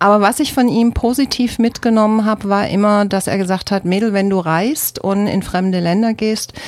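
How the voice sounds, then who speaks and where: A woman at medium pitch and moderate pace, an unremarkable speaking voice. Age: 50s. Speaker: former shop owner. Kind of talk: radio interview. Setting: radio studio.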